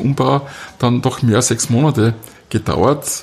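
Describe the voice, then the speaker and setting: This man has an unremarkable speaking voice, with medium pitch, ordinary pitch variation and a moderate pace. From Austria, southern Styria. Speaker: carpet dealer and designer. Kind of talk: interview. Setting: carpet gallery, muffled acoustics.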